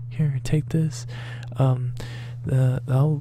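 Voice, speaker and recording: Someone is whispering. Behind it there is noticeable background noise. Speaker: gaming youtuber. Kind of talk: video intro commentary.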